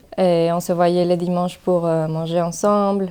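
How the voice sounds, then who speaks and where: Her voice is medium in pitch with a dark, mellow tone. The woman keeps a monotone, flat intonation at a moderate pace. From Mexico City. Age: 20s. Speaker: migrant association volunteer. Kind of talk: personal testimony. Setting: podcast recording. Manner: hesitant, many fillers.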